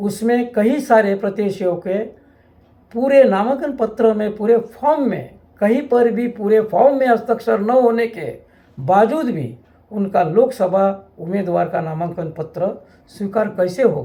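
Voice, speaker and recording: With a dark, mellow tone, a man talks at a high pitch with ordinary pitch variation. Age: 60s. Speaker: local politician, election candidate. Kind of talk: political statement to camera. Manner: halting.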